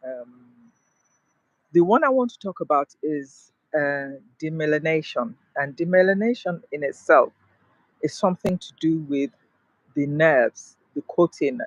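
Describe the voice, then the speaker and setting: Pausing long and often, a man talks fairly slowly at a fairly high pitch with lively intonation and big swings in loudness, in a dry, close sound with no echo. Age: 60s. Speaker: mental health vlogger. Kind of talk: personal vlog monologue. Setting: outdoors in a park. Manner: halting, many fillers.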